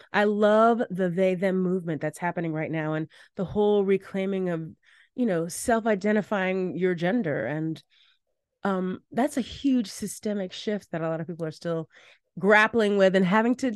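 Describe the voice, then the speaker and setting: In an American accent, a woman speaks at a moderate pace with a medium pitch. The background is quiet, and the sound is dry and close with no echo. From US, Washington DC. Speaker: keynote speaker, performer and educator. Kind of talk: casual interview chat. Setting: video call. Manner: animated.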